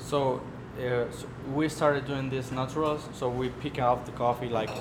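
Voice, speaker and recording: Flat, monotone intonation comes at a fairly slow pace, with audible room echo and noticeable background noise. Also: man. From Costa Rica. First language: Spanish (speaking French). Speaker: interpreter and coffee producer. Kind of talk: interpreting.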